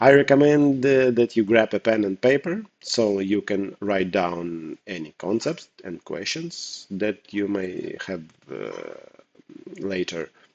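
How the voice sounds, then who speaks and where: Speaking very slowly with a non-native accent, a man uses a fairly low voice and lively intonation, with big swings in loudness and a dry, close sound with no echo. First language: not English. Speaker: poker coach. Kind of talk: tutorial. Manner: hesitant, with fillers.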